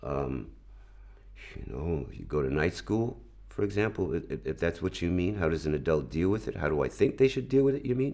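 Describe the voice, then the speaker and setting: With a New York accent, a man speaks at a fairly quick pace in a very deep, low pitch, his dark, mellow tone carrying vocal fry and very wide pitch swings. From New York, Brooklyn. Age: 60s. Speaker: video editor. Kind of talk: interview. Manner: hesitant, repeats words.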